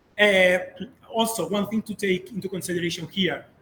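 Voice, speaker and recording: Ordinary pitch variation comes through noticeable background noise. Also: man. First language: Spanish or Catalan. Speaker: video game developer and instructor. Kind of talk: lecture. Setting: workshop room with audience. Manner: hesitant, many fillers.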